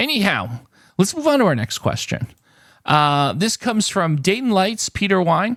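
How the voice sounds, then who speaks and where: A man with a high pitch speaks at a moderate pace, his voice making very wide pitch swings. The sound is dry and close with no echo. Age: 50s. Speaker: YouTube word-game channel host. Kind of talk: casual viewer Q&A chat to camera. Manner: hesitant, many filler uhs and ums.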